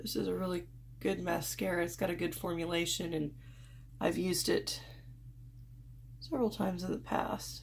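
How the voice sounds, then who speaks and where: Audible room echo surrounds a woman who speaks at a moderate pace with long, frequent pauses. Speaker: beauty vlogger. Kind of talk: makeup tutorial. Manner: casual, unscripted.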